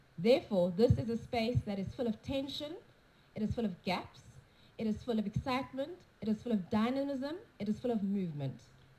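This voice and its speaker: A woman speaks at a fairly quick pace with a fairly high pitch and lively intonation. Her tone is dark and mellow, and somewhat breathy. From South Africa. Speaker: conference speaker. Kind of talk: conference talk with consecutive interpretation. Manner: unscripted, off the cuff.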